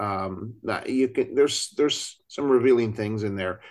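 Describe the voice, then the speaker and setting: This man has an ordinary speaking voice with a fairly low pitch. His intonation stays fairly even against a quiet background. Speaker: podcast co-host and CFP exam instructor. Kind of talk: casual roundtable chat.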